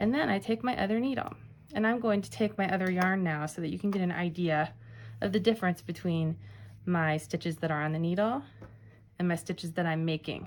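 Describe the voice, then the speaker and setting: An unremarkable speaking voice at a fairly quick pace, with lively intonation. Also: woman, fairly low pitch for a woman. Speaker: library staff craft instructor. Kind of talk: tutorial. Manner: casual.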